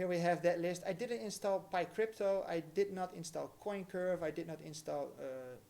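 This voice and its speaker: Speaking fairly slowly with a non-native accent, a man has a high pitch and a dark, mellow tone. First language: not English. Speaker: crypto livestreamer. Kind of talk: live tutorial. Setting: livestream. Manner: casual, hesitant with fillers.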